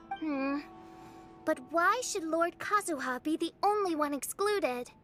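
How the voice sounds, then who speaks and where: With clear music in the background, a put-on character voice at an extremely high pitch moves along at a moderate pace. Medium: video game.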